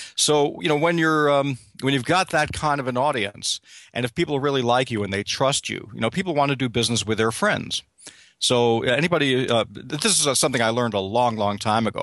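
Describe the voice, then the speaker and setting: At a fairly quick pace, a man with an American accent talks at a medium pitch with ordinary pitch variation. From New York City. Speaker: meet-up organizer. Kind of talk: casual interview.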